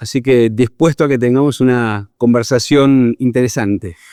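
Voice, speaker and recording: A man with an Argentine accent, on a very clean recording with a silent background. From Argentina. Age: 50s. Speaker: psychologist and leadership consultant. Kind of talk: interview.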